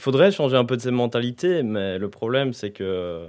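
A man with a plain, everyday voice talks at a medium pitch and moderate pace, with ordinary pitch variation. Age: 20s. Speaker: university student. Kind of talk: casual chat.

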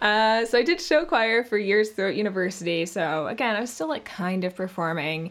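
A woman with a Canadian accent uses a normal speaking voice at a medium pitch, talking at a fairly quick pace with hardly any pauses. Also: lively intonation. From Canada. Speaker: voice actress. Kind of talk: casual interview chat. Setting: video call.

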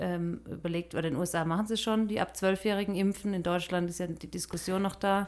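At a fairly quick pace, a woman talks in a monotone, flat intonation at medium pitch. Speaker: missionary podcast co-host. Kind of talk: casual chat.

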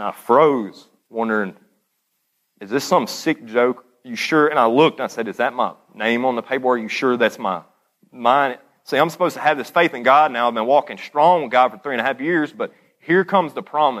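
Speaking in a Southern US accent at a fairly quick pace, the voice has ordinary pitch variation and big swings in loudness. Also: man, medium pitch for a man. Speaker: former addict giving testimony. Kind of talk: testimony. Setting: church.

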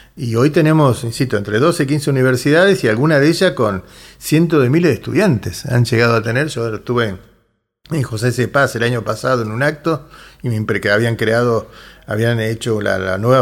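A man with a normal speaking voice uses a medium pitch and lively intonation at a moderate pace, recorded very cleanly against a silent background. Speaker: union leader. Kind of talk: radio interview.

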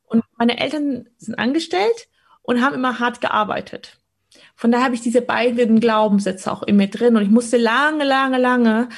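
A somewhat breathy woman at a fairly quick pace with fairly even intonation. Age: 30s. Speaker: stock market coach. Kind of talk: interview conversation.

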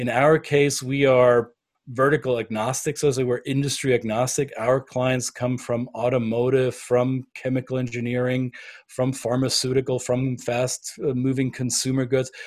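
A man's medium-pitched voice with a German accent, monotone and flat in intonation, at a moderate pace, on a very clean recording with a silent background. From Bavaria, Germany. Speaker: business consultant. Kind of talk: podcast interview.

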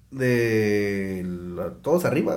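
A man speaks, and audible room echo can be heard around him. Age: 40s. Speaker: entrepreneur, restaurant owner. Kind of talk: casual chat.

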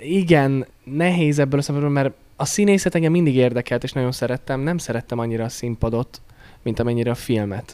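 A man with a plain, everyday voice, medium pitch, ordinary pitch variation, and a fairly quick pace. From Slovakia, Hungarian minority (Párkány). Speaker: singer-songwriter. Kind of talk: interview.

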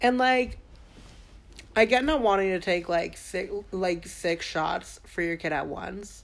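This woman talks at a fairly slow pace with a fairly low pitch and vocal fry. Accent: American. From Staten Island, New York. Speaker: podcast co-host. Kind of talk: casual chat.

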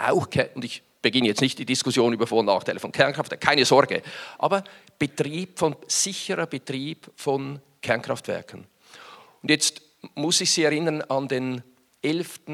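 A man speaks at a fairly high pitch with ordinary pitch variation. He leaves long, frequent pauses. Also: moderate pace. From Switzerland, Winterthur. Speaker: business executive. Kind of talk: conference talk. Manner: hesitant, many fillers.

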